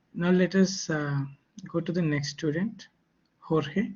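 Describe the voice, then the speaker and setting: A man with a non-native accent, somewhat breathy, at a moderate pace with ordinary pitch variation. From India. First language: not English. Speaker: lecturer. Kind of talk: online class.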